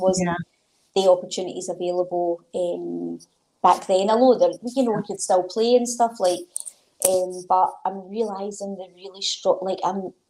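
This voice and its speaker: A woman with a Glaswegian accent, medium pitch, a dark, mellow tone and big swings in loudness. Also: fairly even intonation, moderate pace. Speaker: sports development coordinator and author. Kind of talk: interview answer.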